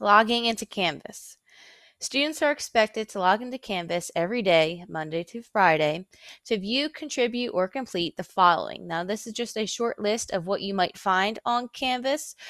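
With an American accent and a normal speaking voice, the speaker uses lively intonation at a moderate pace. The recording is very clean, with a silent background and a dry, close sound with no echo. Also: woman, fairly high pitch for a woman. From Philadelphia, Pennsylvania. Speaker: middle school teacher. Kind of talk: recorded lecture.

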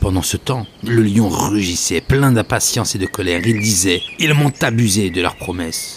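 The voice carries a calm, dramatic tone. Noticeable background noise sits behind it. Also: man. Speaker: podcast host and storyteller. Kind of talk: bedtime story telling, a Sufi tale read aloud in a hushed, soothing voice; solo podcast with scripted tale narration. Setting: solo recording, podcast. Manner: slow, measured and calm, with dramatic pauses and shifting tones for each animal; gentle, devotional and reverent, almost lulling.

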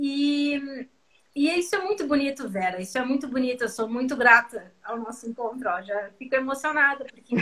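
The speaker's bright, sharp tone carries lively intonation at a fairly slow pace. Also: woman. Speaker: samba singer and live host. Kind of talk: casual chat. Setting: video call. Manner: animated.

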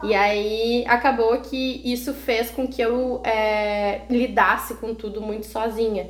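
The delivery is monotone and flat at a very slow pace. There are hardly any pauses. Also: woman, fairly high pitch for a woman. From Rio Grande do Sul, Brazil (Canoas). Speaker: mother of a child with a rare disease. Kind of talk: casual interview.

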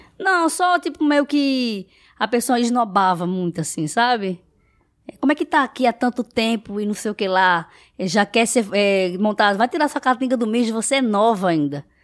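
A woman speaks at a fairly high pitch and a moderate pace, her pitch swinging very widely. The recording is very clean with a silent background, and the sound is dry and close with no echo. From Brazil, Recife. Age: 20s. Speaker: house cleaner and social media influencer. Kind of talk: casual interview.

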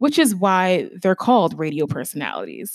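A woman with an American accent uses an unremarkable speaking voice at a medium pitch, her intonation lively, in a very clean recording with a silent background. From Stamford, Connecticut, US. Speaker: podcast host, journalist. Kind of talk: solo podcast monologue.

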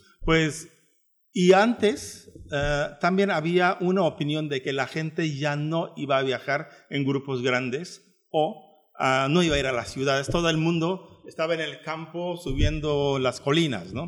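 A man with a Turkish accent speaks at a fairly slow pace, his fairly high pitch rising and falling in an ordinary way. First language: Turkish (speaking Spanish). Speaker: travel agency director. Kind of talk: radio interview.

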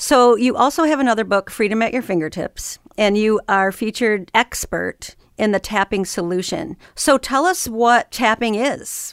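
A woman with a normal speaking voice talks at a moderate pace with hardly any pauses, her fairly high pitch carrying lively intonation, on a very clean recording with a silent background and a dry, close sound with no echo. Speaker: podcast host. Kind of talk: interview. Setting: studio.

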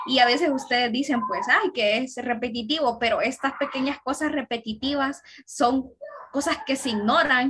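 A woman speaks at a fairly slow pace with a Honduran accent and a high pitch. Her pitch varies in an ordinary way over noticeable background noise. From Honduras. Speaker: university student. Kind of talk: casual podcast chat.

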